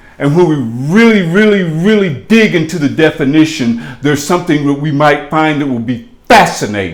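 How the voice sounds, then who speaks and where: A man with a fairly high voice speaks at a fairly quick pace, his intonation lively. There is audible room echo and noticeable background noise. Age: 70s. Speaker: chauffeur and rideshare vlogger. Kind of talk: casual vlog monologue. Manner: animated; halting, many fillers.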